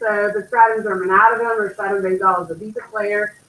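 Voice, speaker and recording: A woman has an unremarkable speaking voice. She speaks at a medium pitch and a fairly quick pace. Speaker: anatomy and physiology teacher. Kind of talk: test review lecture.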